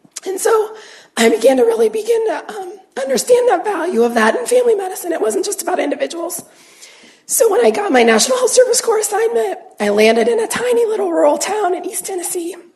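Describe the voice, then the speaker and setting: In an American accent, a woman talks very fast at an extremely high pitch with very wide pitch swings, over noticeable background noise and audible room echo. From Ohio, Youngstown. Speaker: family physician. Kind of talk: lecture. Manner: halting.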